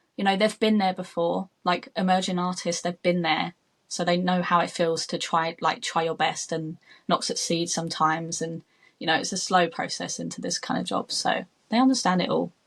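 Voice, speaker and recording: A woman with a British accent talks at a moderate pace in a fairly low, somewhat breathy voice. The recording is very clean, with a silent background. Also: ordinary pitch variation. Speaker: makeup artist. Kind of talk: interview.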